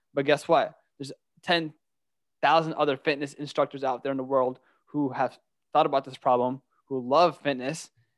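Recorded with a dry, close sound and no echo, a man with a fairly high pitch speaks in a monotone, flat way at a fairly quick pace, leaving long, frequent pauses. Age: 20s. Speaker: podcast host. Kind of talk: interview.

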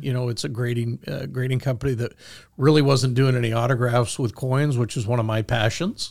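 A man with an American accent and a normal speaking voice talks at medium pitch with fairly even intonation on a very clean recording with a silent background. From Michigan, US Midwest. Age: 50s. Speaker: coin grading executive. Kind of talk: interview storytelling. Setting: studio.

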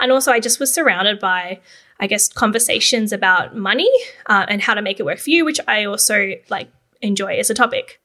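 A bright, sharp voice with an Australian accent moves at a fairly quick pace with ordinary pitch variation. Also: woman, fairly high pitch for a woman. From Australia, Canberra. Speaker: podcast host and copywriting agency founder. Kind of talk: solo podcast monologue. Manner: casual, conversational.

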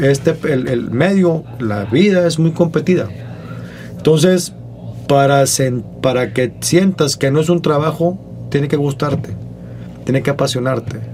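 Set against music in the background, the speech moves at a fairly slow pace with ordinary pitch variation and long, frequent pauses. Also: man, fairly high pitch for a man. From Monterrey, northern Mexico. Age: 40s. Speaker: comedian. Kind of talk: casual chat.

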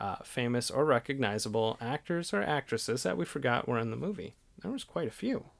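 This man has an ordinary speaking voice at a medium pitch. He talks at a fairly quick pace with lively intonation. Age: 30s. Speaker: podcast co-host. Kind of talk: casual chat.

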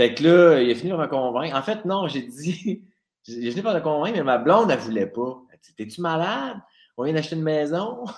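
Talking at a fairly quick pace, a man with a fairly high voice makes very wide pitch swings and big swings in loudness. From Quebec, Abitibi. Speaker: radio comedy writer. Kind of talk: casual chat.

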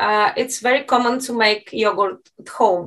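A woman speaks with a Bulgarian accent. Her intonation is lively. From Bulgaria (Plovdiv). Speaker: university professor of Spanish. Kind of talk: casual interview.

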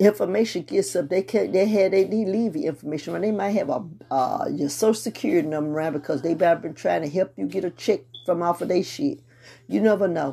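A woman talks at a very fast pace in a medium pitch, with a dark, mellow tone, vocal fry and lively intonation. The recording is very clean, with a silent background. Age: 50s. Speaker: podcast host. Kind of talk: casual monologue. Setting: home prayer room with music playing.

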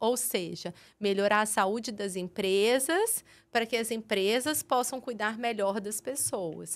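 Speaking at a fairly slow pace, a woman uses an unremarkable speaking voice with a fairly high pitch and ordinary pitch variation. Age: 40s. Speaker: pediatric dentist and health TV presenter. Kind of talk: podcast interview.

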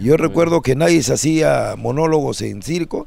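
A man speaks at a fairly quick pace. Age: 60s. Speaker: comedian. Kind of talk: casual chat. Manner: animated.

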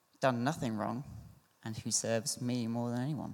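A man speaks in a southern English accent. His intonation stays monotone and flat. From Surrey, southern England. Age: 20s. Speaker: churchgoer. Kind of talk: testimony. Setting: church. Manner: halting.

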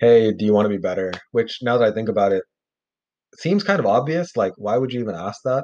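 Lively in intonation, a man with a medium pitch talks at a very fast pace. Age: 30s. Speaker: bible podcast host. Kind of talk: scripture reading with commentary. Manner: casual, conversational with fillers.

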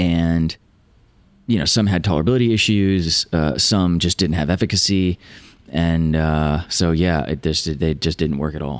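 Using an American accent, a man speaks at a moderate pace in a very deep, low voice with ordinary pitch variation. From Virginia, US. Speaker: neuroscientist and biotech stock analyst. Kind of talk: interview about science and investing.

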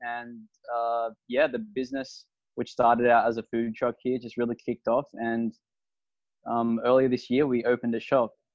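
With an Australian accent, a man speaks at a medium pitch and moderate pace in a monotone, flat intonation. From Australia, Sydney. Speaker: food truck and restaurant owner. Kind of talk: podcast interview. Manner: casual, with frequent fillers.

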